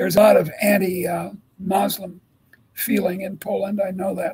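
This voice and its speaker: A man with an American accent speaks at a moderate pace in a high voice. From US Midwest, Chicago. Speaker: economics professor. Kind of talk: interview. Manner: halting, with repeated words.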